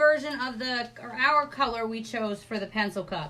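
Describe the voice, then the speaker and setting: With an American accent and a high pitch, a woman speaks at a moderate pace in an animated tone with lively intonation over noticeable background noise. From New York. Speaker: craft supply seller. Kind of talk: live stream product showcase.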